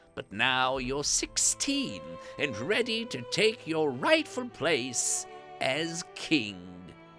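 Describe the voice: A put-on character voice, bright and sharp, moves at a very slow pace with very wide pitch swings. Faint music plays in the background.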